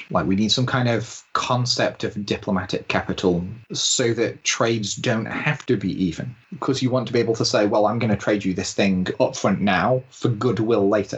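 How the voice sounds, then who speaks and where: A man with a somewhat breathy voice talks at a fairly quick pace and medium pitch, with ordinary pitch variation and hardly any pauses. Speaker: podcast panelist. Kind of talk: casual chat.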